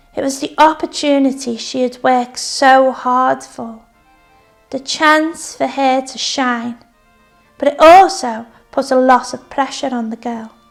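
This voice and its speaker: With music in the background, a woman speaks fairly slowly at a high pitch, keeping her intonation fairly even. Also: big swings in loudness. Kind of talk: story reading.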